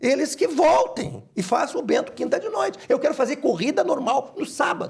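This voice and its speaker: Pausing hardly at all, a man speaks at a moderate pace. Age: 60s. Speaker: horse racing club president. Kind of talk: interview. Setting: studio.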